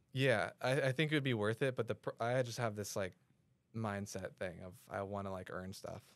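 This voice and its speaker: A plain, everyday voice from a man at medium pitch, moderate pace and ordinary pitch variation, on a very clean recording with a silent background. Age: 20s. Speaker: e-commerce entrepreneur. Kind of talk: casual chat.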